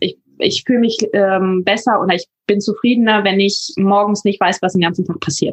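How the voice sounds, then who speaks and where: At a moderate pace and medium pitch, a woman speaks in a somewhat breathy voice with ordinary pitch variation and very even loudness, recorded with a dry, close sound and no echo. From northern Germany, near Hamburg. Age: 20s. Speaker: paramedic and van traveller. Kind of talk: interview.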